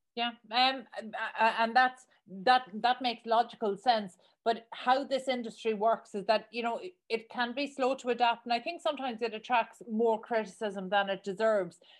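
A woman with an Irish accent speaks at a moderate pace in a fairly high voice, her intonation fairly even. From Ireland. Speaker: podcast host. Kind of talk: interview. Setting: studio.

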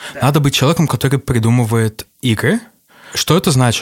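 In a very clean, dry, close recording with a silent background and no echo, a somewhat breathy man with a fairly high pitch speaks with lively intonation. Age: 30s. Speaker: game designer. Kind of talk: casual interview.

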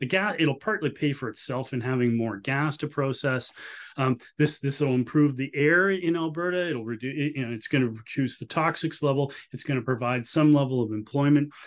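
With a Canadian accent, the speaker talks at a fairly quick pace with hardly any pauses and ordinary pitch variation against a quiet background. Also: man, fairly high pitch for a man. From Canada. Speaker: economist. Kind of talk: interview. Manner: halting, frequent restarts.

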